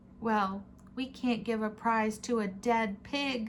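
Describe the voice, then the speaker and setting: A woman's put-on character voice, fairly high and monotone with flat intonation, at a fairly slow pace over clear background noise. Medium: read story.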